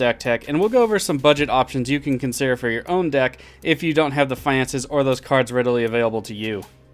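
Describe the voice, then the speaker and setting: A man's medium-pitched voice rushes along at a very fast pace. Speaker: card game content creator. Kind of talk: tutorial.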